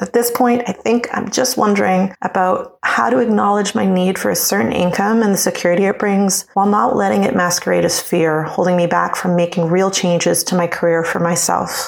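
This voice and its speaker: A woman with an ordinary speaking voice talks at a fairly quick pace and a medium pitch, using ordinary pitch variation, very even loudness and hardly any pauses. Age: 40s. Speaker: office manager and former actor. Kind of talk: recorded listener question.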